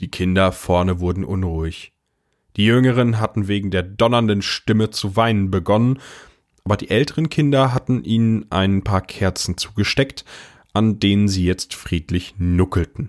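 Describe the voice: A man with a fairly low voice speaks at a moderate pace with ordinary pitch variation. The recording is very clean, with a silent background.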